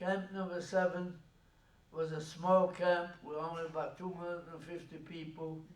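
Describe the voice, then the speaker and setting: A man speaks at a moderate pace in a high pitch, his intonation monotone and flat while his loudness swings widely. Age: 80s+. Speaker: Holocaust survivor. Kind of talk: public talk recounting personal history.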